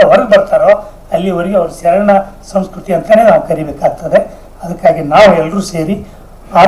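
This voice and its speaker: A man speaks with fairly even intonation but big swings in loudness. Noticeable background noise is present. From northern Karnataka, near Basavana Bagewadi. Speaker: writer and speaker on Sharana culture. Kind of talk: public speech at a seminar.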